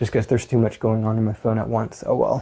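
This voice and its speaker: The voice is soft-spoken and somewhat breathy, with a dark, mellow tone. It moves at a fairly quick pace. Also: man. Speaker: physical therapist and fitness coach. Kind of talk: workout tutorial. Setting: home at night.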